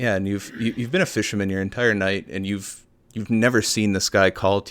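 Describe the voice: The intonation is fairly even. The text is read aloud plainly.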